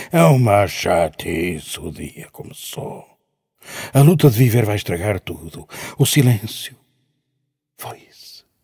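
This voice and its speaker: A man with a fairly low pitch and a dark, mellow, somewhat breathy tone swings his pitch very widely and his loudness a lot, pausing long and often against a quiet background. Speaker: poet reciting. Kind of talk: poetry reading, spoken word. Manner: slow, dreamy, contemplative. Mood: reflective, dramatic. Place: stage. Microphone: handheld.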